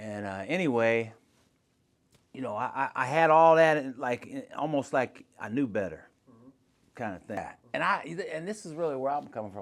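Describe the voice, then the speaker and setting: This voice has an American accent and very wide pitch swings. The recording is very clean, with a silent background. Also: man. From Akron, Ohio. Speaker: pastor. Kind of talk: podcast interview answer. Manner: casual, conversational.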